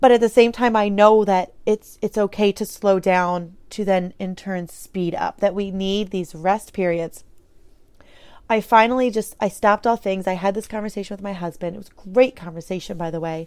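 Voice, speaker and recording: Moderate pace, fairly even intonation and big swings in loudness on a very clean recording with a silent background. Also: woman. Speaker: podcast host. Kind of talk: solo monologue podcast.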